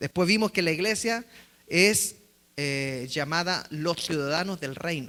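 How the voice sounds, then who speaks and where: His voice is fairly high for a man, with a bright, sharp tone and ordinary pitch variation. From Chile. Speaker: pastor. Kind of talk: sermon.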